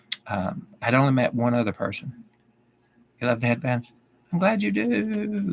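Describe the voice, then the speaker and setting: This man speaks with a Southern accent at a medium pitch. His intonation is lively. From US South. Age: 50s. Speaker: YouTuber. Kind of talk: livestream Q&A. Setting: live video stream. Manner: repeats sentences.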